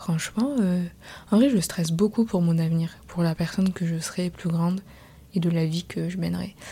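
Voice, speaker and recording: A woman's fairly low, somewhat breathy voice with a dark, mellow tone, ordinary pitch variation and a moderate pace. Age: 20s. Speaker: podcast host. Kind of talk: personal monologue. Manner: casual, hesitant with fillers.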